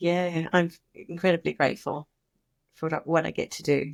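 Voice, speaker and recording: With vocal fry, a woman speaks at a very deep, low pitch in a dry, close recording with no echo, very clean and set against a silent background. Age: 60s. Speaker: former early childhood educator, founder of a children's mindfulness program. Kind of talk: podcast interview. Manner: animated.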